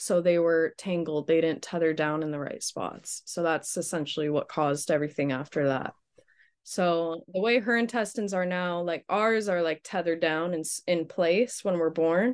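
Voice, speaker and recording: An unremarkable speaking voice at a moderate pace, with ordinary pitch variation and a quiet background. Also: woman, fairly low pitch for a woman. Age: 20s. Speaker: young mother and aerialist. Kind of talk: casual interview.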